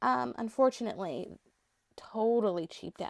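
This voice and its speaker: A woman's voice with very wide pitch swings, dry and close with no echo, on a very clean recording with a silent background. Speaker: doll collector and vlogger. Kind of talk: casual collection showcase monologue. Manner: rambling with frequent fillers and repetitions.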